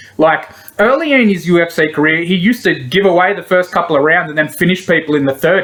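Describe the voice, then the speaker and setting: Talking very fast in an Australian accent, a man with a high voice shows ordinary pitch variation over noticeable background noise. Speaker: MMA betting tipster. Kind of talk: solo commentary video, casual.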